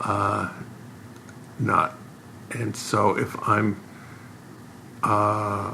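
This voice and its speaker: There's audible room echo around this man, along with noticeable background noise. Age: 70s. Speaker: professional video poker player and author. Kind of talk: interview. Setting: in-person sit-down interview.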